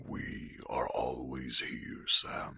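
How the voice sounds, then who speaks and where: The voice is a put-on character voice. It growls. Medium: audio drama. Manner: warm, blunt.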